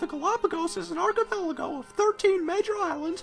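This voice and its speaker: At a moderate pace, a cartoonish character voice speaks over clear music in the background. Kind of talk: comic overacting. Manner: boisterous, theatrical, laughing.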